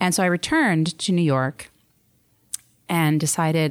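An American accent on a woman's very deep, low voice. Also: very clean recording, silent background. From Baltimore, US. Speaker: public health professor. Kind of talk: interview. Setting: studio.

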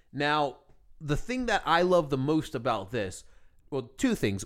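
A man at a fairly high pitch with very wide pitch swings, moderate pace, on a very clean recording with a silent background. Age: 30s. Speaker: podcast co-host. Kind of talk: casual chat. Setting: studio.

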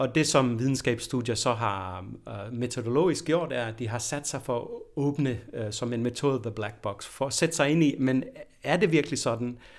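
Speech moves at a moderate pace with ordinary pitch variation. The recording is very clean, with a silent background. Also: man, medium pitch for a man. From Denmark. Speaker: professor of anthropology. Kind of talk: interview. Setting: university office. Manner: hesitant, many fillers and repetitions.

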